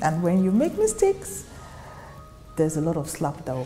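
A woman with a Nigerian accent at a moderate pace, faint music in the background. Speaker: actress. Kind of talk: interview answer. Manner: soft-spoken. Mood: reflective, candid, animated gestures. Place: office.

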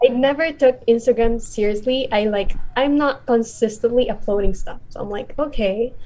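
Speaking with a Filipino accent, a woman uses a high pitch, dark, mellow tone, fairly even intonation and a moderate pace. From Philippines. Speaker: content creator. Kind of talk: casual chat. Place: home room. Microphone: video call.

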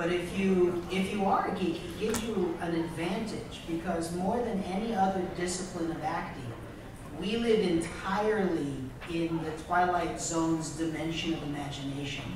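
In strong room echo with noticeable background noise, a high-pitched man speaks at a moderate pace with fairly even intonation. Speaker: voice actor. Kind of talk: convention panel discussion. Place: hall.

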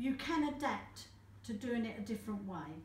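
A woman's fairly high voice with very wide pitch swings, a fairly slow pace, and audible room echo. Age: 70s. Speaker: caregiver. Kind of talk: interview answer. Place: office. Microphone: camera far.

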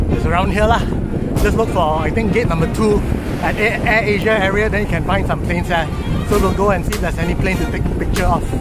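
Clear music plays behind a man who talks very fast, his voice dry with no echo. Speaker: cycling vlogger. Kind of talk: casual vlog chat. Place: open country. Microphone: phone near.

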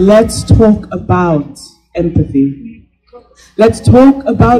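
High pitch for a man, backed by music. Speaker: event emcee and poet. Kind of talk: spoken word poetry. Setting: stage with audience. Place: stage. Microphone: pa.

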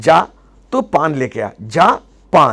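A man with an Indian accent speaks in an animated tone with vocal fry. The background is quiet. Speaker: memory trainer. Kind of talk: tutorial. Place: studio. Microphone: lapel.

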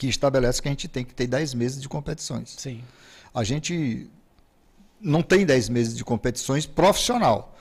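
Somewhat breathy, a man speaks at a moderate pace. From Pinheiro, Maranhão, Brazil; Maranhão, Brazil. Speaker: football federation president; guest. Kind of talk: interview. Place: studio. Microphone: studio mic.

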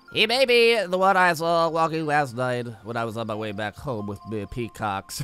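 Doing a put-on character voice, a man sounds nasal at medium pitch, keeping a moderate pace with hardly any pauses as faint music plays in the background.

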